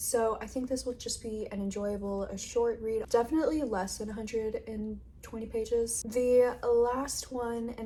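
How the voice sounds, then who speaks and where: Over noticeable background noise, a woman talks at a fairly slow pace and fairly high pitch, her intonation monotone and flat. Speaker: book vlogger. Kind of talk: casual video diary talk. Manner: relaxed, conversational.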